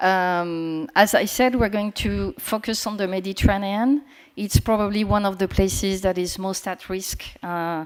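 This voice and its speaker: A woman speaks with a French accent at a medium pitch and a moderate pace, using ordinary pitch variation. The recording is very clean, with a silent background. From France. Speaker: panel moderator, communications professional. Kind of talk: moderating a conference panel. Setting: conference room with live audience.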